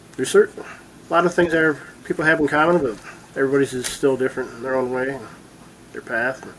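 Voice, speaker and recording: A man speaks at a very fast pace with a fairly high pitch. His speech is broken by long, frequent pauses. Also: fairly even intonation. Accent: American. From Michigan (Bay City). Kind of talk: casual interview. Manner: brief answers.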